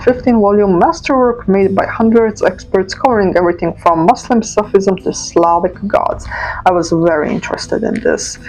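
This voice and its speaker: A woman with a non-native accent speaks at a moderate pace and medium pitch with hardly any pauses and ordinary pitch variation, over noticeable background noise. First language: not English. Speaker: journaling vlogger. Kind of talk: casual chat. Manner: hesitant, filler-heavy.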